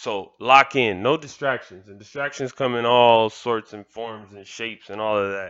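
A man with an American accent speaks in a plain, everyday voice at medium pitch. His pace is fairly slow, with ordinary pitch variation. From Miami, Florida (Kendall). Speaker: motivational podcaster. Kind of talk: motivational monologue.

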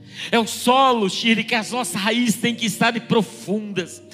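Over noticeable background noise, a man with an extremely high pitch projects a raised voice at a moderate pace, keeping his intonation fairly even. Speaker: pastor. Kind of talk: sermon.

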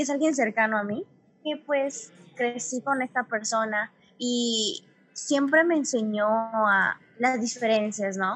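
There is a woman speaking with a Yucatecan accent at a high pitch. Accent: noticeable Yucatecan. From Yucatán, Mexico. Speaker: podcast host, literature student. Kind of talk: casual chat.

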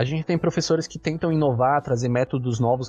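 Speaking very rapidly, a man keeps his intonation fairly level. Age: 20s. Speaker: university student podcast host. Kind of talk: casual interview chat.

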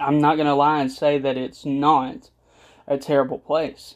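The very clean recording, with a silent background, captures a man speaking at a fairly high pitch. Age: 20s. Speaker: podcast host, physical therapist assistant. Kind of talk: casual solo podcast monologue. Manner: halting, many fillers.

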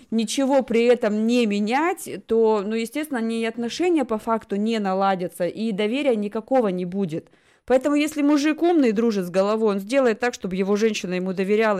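A woman with a fairly high voice speaks at a fairly quick pace, her tone dark and mellow and her intonation lively, on a very clean recording with a silent background. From Russia. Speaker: talk show host. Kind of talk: casual chat.

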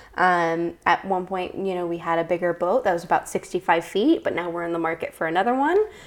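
With an American accent and a plain, everyday voice, a woman of fairly low pitch speaks at a fairly quick pace with hardly any pauses and fairly even intonation. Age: 20s. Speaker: youth program leader. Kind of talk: casual interview.

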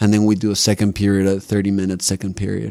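With a Spanish accent, a man talks at a fairly quick pace in a fairly low pitch with a dark, mellow tone. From Mexico City. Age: 30s. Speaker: Zen monk. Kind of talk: casual interview. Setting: podcast studio.

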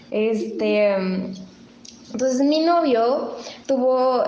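Recorded with audible room echo and noticeable background noise, a woman talks at a very slow pace. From Mexico City. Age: 30s. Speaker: host's daughter. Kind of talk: casual chat.

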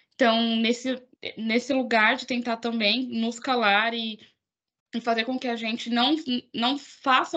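Over a quiet background, a woman with a high pitch speaks at a fairly slow pace in a monotone, flat voice. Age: 20s. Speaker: podcast host. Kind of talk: casual chat.

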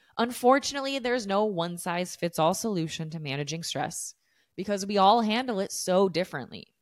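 Here a woman with an American accent uses an unremarkable speaking voice at medium pitch, fairly quick with lively intonation, on a very clean recording with a silent background. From desert region of the US. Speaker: fitness coach and podcast host. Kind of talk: solo podcast monologue, casual and educational.

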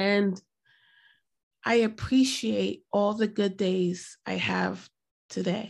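An American accent from a woman, captured very cleanly against total silence. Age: 40s. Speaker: mental health advocate. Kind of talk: personal testimony.

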